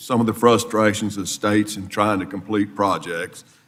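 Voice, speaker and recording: With a Mississippi accent, a man talks at a moderate pace in a fairly low pitch. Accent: US Southern (Mississippi). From South Mississippi. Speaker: congressman. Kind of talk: committee hearing questioning.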